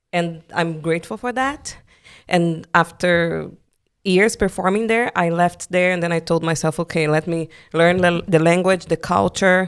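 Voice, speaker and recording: Over a very clean, silent background, a woman talks at a fairly slow pace with a fairly low pitch and ordinary pitch variation. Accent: Brazilian. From Brazil. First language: Portuguese. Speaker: musical theatre performer. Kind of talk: interview conversation.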